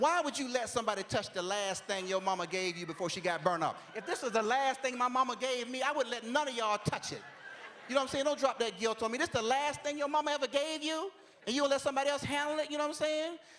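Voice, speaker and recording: A man talks at a very fast pace in an extremely high pitch, with an animated tone and lively intonation. Noticeable background noise is audible. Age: 40s. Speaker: comedian. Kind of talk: stand-up.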